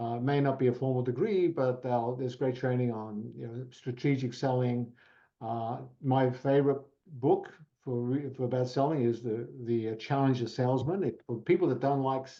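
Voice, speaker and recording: Fairly even intonation from a man, in an Australian accent. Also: medium pitch for a man, moderate pace. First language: Italian. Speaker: professional services executive. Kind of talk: podcast interview. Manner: hesitant, with fillers.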